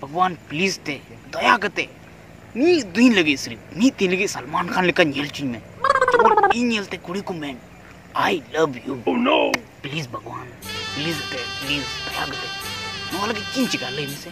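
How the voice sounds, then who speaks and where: Over loud background noise, the speech comes at a fairly slow pace with a dry sound and no echo. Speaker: comedy skit actor. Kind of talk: comic prayer monologue. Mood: pleading, comic. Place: open country. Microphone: phone near.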